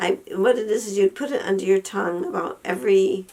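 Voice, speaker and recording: Noticeable background noise is heard while a woman talks at a very fast pace. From Western New York. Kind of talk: casual talk to camera.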